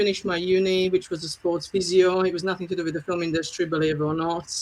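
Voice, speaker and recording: Very fast, monotone speech with flat intonation in a Slovak accent. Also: woman. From Slovakia. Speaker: film producer. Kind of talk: interview.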